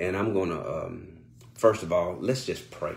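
Somewhat breathy, a man's voice sits very deep and low. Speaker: pastor. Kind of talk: sermon and spoken prayer. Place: home room. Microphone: phone near.

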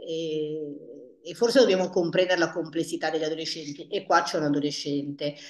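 A woman talks in a fairly low pitch with ordinary pitch variation. There is audible room echo over a quiet background. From northern Italy, Paderno Dugnano near Milan; northern Italy. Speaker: family therapist; guest. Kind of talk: panel discussion. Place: office. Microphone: earbuds.

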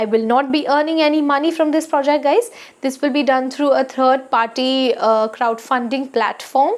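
A woman with a high pitch speaks at a moderate pace, with ordinary pitch variation and very even loudness. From India. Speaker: skincare YouTuber; skincare vlogger. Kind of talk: casual vlog talk to camera. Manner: frequent hesitations (uh). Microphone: lapel.

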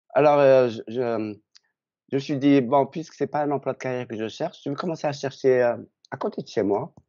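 A man's voice, set against a quiet background, keeps a moderate pace and shows ordinary pitch variation. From Algeria. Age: 60s. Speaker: retiree, dating agency client; interviewee. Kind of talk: interview; interview answer. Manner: halting. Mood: relaxed, friendly. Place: home room. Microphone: video call.

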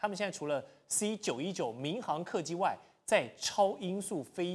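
The background is quiet as a man speaks. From Taiwan. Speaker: TV talk show host. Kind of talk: political talk show. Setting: TV studio. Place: studio.

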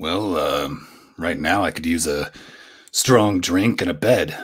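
A man puts on a raspy character voice with a very deep, low pitch. He talks at a fairly slow pace with ordinary pitch variation. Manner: blunt, dry.

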